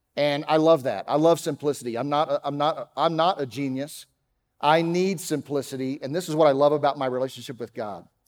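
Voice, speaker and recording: On a very clean recording with a silent background, a man with an American accent talks at a fairly high pitch and a fairly quick pace, using ordinary pitch variation. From Texas, Dallas. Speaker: pastor. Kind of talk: sermon. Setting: church.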